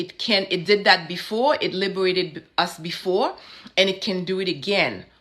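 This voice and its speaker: At a moderate pace, a woman speaks with a bright, sharp tone at medium pitch. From Haiti. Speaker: vodou practitioner and spiritual speaker. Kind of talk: interview conversation. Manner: impassioned, repetitive oratory.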